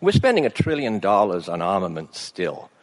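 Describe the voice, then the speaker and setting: A man speaks with an English accent at a moderate pace, his pitch fairly low. The background is quiet. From England. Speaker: family physician. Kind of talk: speech. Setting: stage with audience. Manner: halting.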